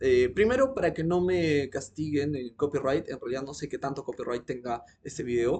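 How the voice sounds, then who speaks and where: A man with an animated tone, fairly high pitch, lively intonation and a fairly quick pace. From Peru. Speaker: teacher commenting on a video. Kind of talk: video commentary lecture. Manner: fast.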